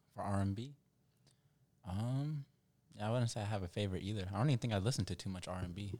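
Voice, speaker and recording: Very fast speech in a dark, mellow tone, ordinary pitch variation, and long, frequent pauses. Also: man, fairly low pitch for a man. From Ethiopian background. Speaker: podcast co-host. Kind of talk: casual chat.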